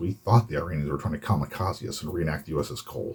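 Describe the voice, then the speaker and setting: With an American accent, a man talks at a very fast pace in a somewhat breathy voice. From Florida. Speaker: Navy veteran, photojournalist. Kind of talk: casual talk to camera.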